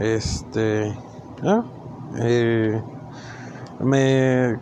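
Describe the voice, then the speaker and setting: Talking at a medium pitch, a man is heard with audible room echo and noticeable background noise. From northern Mexico, Chihuahua. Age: 20s. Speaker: amateur podcaster. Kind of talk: solo monologue podcast. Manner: halting, many fillers.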